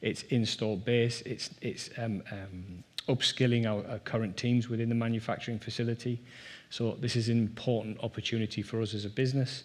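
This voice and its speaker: A man speaks in a northeast English accent at medium pitch. His delivery is fairly quick, with monotone, flat intonation. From northeast England, Durham. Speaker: rail industry executive. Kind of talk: conference presentation.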